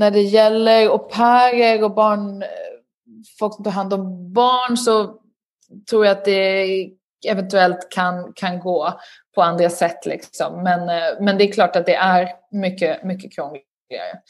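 This woman speaks at a very slow pace. Her pitch is medium and her intonation fairly even. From southern Sweden, Lund. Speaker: journalist and author. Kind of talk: interview.

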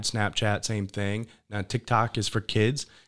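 A man's fairly low voice in a monotone, flat delivery. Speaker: podcast host. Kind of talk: casual interview chat.

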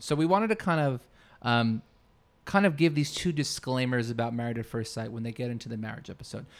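This recording is very clean, the background silent. A man talks very fast. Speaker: podcast host. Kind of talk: casual chat. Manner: joking.

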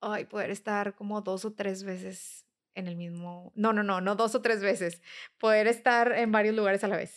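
Speaking at a medium pitch and a moderate pace, a woman keeps a monotone, flat intonation on a very clean recording with a silent background. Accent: Mexican. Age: 30s. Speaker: nutritionist. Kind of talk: interview.

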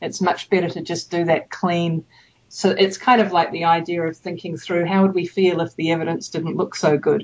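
A woman with a New Zealand accent talks at a fairly low pitch and moderate pace, her intonation fairly even. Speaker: evaluation consultant. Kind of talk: interview. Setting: remote call.

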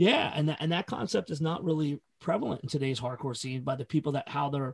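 A man speaks fairly quickly in a somewhat breathy, fairly high voice, his pitch varying in an ordinary way. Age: 40s. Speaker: hardcore festival organizer and podcaster. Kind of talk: casual chat.

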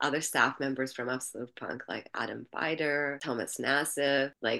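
The speaker has an Albanian accent and talks at a moderate pace. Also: woman. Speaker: music industry entrepreneur. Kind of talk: interview. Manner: animated.

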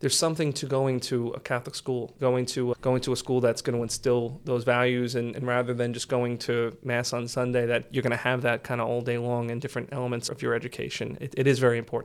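Over noticeable background noise, a man with an American accent talks very fast with hardly any pauses, at medium pitch in a monotone, flat intonation. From Staten Island, New York City. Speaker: judge. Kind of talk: interview.

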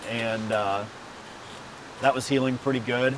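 A man's medium-pitched voice with an American accent, fairly even intonation and a moderate pace, over noticeable background noise. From Texas. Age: 30s. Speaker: professional off-road racer. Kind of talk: casual interview. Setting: race shop.

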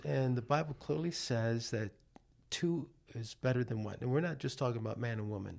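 Speaking at a moderate pace with an American accent, a man with an unremarkable speaking voice and medium pitch uses lively intonation. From New York City. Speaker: life coach. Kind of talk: casual chat. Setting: studio.

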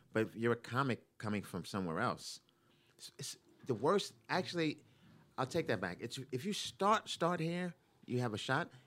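A man with an American accent speaks at a medium pitch and a moderate pace, with very wide pitch swings. The recording is very clean, with a silent background. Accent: New York accent, disputed by listener. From New York, Brooklyn. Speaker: stand-up comedian. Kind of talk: casual chat.

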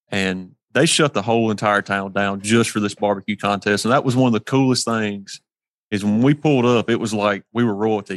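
The pace is fairly quick and the intonation fairly even. The sound is dry and close, with no echo. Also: man. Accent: Mississippi. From US South, Hernando, Mississippi. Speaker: competition barbecue cook. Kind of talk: casual interview chat. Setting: remote from a shop.

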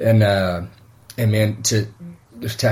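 A man speaks at a very slow pace in a somewhat breathy voice with fairly even intonation. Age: 40s. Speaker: pastor. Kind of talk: casual chat.

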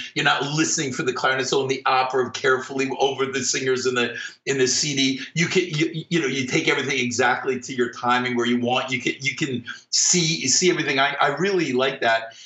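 Noticeable background noise fills the recording. The delivery is very fast, and the intonation stays fairly even. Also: man, medium pitch for a man. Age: 50s. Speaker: orchestral clarinetist. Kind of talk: casual interview.

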